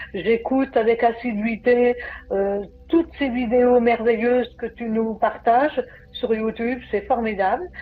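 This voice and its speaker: A woman talks fairly slowly in a fairly high pitch, with ordinary pitch variation and noticeable background noise behind her. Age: 60s. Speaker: program client. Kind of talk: testimony. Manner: halting.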